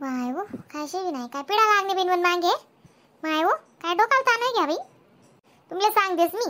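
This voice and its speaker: Squeaky cartoonish character voice at a moderate pace. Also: female-sounding voice, extremely high pitch for a woman. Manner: wailing, calls on Mahadev, repeats "bapre".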